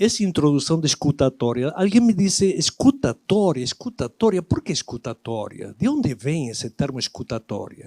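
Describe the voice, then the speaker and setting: Speaking with an Argentine accent, a man at a fairly high pitch uses very wide pitch swings and a dark, mellow tone, keeping a moderate pace with hardly any pauses in a dry, close sound with no echo. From Argentina, Buenos Aires. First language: Spanish (speaking Portuguese). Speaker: lecturer. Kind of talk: lecture.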